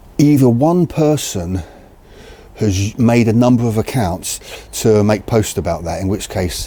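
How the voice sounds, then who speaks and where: Man with a British accent amid noticeable background noise. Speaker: video creator on crossbows. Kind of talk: casual talk to camera. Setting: outdoors in the cold. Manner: halting, self-correcting.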